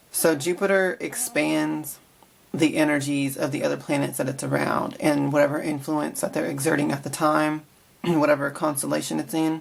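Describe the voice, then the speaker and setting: The pace is moderate. Noticeable background noise runs throughout. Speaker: psychic tarot reader. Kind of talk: astrology forecast monologue. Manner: casual.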